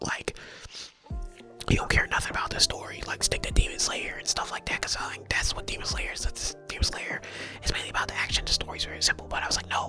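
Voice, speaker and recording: Very fast whispering from a man, with music in the background. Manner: whispered, casual, conversational.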